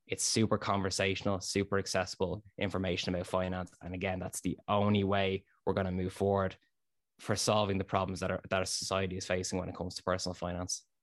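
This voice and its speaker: Against a quiet background, a man with a very deep, low pitch speaks very fast in a monotone, flat delivery. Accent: Dublin. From Ireland, south Dublin suburbs. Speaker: finance content creator. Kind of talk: interview.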